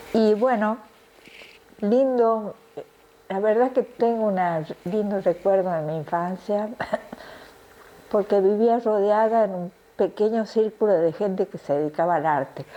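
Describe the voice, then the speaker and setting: Pausing long and often, a woman speaks at a fairly slow pace and medium pitch with ordinary pitch variation, over noticeable background noise. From Argentina, Tucumán. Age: 70s. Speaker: retired ballet dancer. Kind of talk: interview. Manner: halting, with fillers and restarts.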